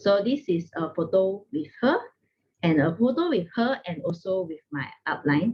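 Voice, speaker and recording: A somewhat breathy woman's voice of medium pitch, with lively intonation at a moderate pace. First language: not English. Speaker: network marketing distributor. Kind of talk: testimony.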